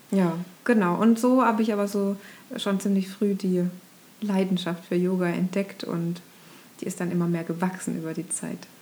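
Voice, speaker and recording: Over noticeable background noise, a woman talks at a moderate pace and medium pitch with fairly even intonation and long, frequent pauses. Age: 30s. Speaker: ashram resident, former marketing worker. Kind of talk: casual interview chat. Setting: in person at a yoga ashram. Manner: hesitant, many filler sounds.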